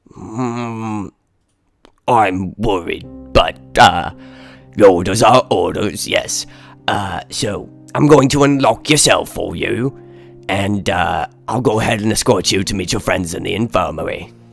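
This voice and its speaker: A man's raspy, put-on character voice at medium pitch and a fairly slow pace, with faint music in the background. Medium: actual play. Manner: hesitant, polite.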